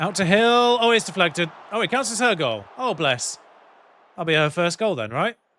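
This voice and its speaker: A man with a British accent speaks at a moderate pace in a high pitch. His tone is bright and sharp, with very wide pitch swings. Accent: British accent, noticeable to viewers. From UK. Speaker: video game streamer. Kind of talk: live game commentary on stream. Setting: live stream with headphones. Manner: casual, chatty.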